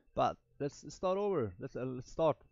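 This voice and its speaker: A man with a Swedish accent speaks at a moderate pace with lively intonation. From Sweden. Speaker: gaming youtuber. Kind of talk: game tutorial. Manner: halting, many fillers.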